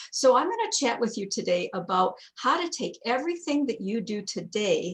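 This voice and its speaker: Her voice somewhat breathy, a woman talks at a moderate pace with very wide pitch swings. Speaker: direct sales executive presenter. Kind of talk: training webinar presentation. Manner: animated.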